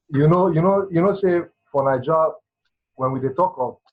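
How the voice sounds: This man's voice sits at a fairly high pitch with a slightly husky edge and ordinary pitch variation.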